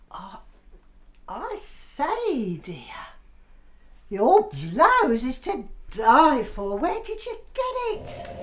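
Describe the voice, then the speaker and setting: In a put-on character voice pitched high, the speaker goes at a very slow pace with long, frequent pauses. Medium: audio drama. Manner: theatrical, gushing.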